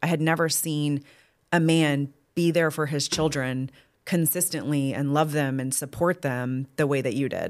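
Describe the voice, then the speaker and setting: Very clean audio over a silent background, carrying a woman's very deep, low-pitched voice. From Texas, Austin area. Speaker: podcast co-host, business owner. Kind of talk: casual chat.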